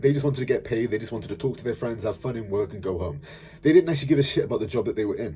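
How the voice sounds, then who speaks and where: Over music in the background, a man with a South Welsh accent talks at a very fast pace in an animated tone with lively intonation. His loudness swings widely. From Wales, South Wales. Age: 20s. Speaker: fitness coach and YouTuber. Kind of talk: personal storytelling monologue. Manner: casual, animated.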